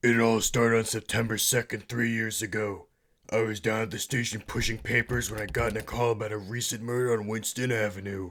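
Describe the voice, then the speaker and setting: In a deadpan tone, a man speaks at a fairly quick pace with a fairly low pitch and monotone, flat intonation on a very clean recording with a silent background. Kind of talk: hard-boiled voice-over. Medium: solo performance. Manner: deadpan, brooding.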